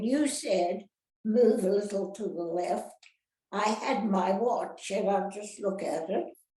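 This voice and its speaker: A woman at a fairly high pitch, very slow in pace, with ordinary pitch variation. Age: old. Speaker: actress. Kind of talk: interview answer.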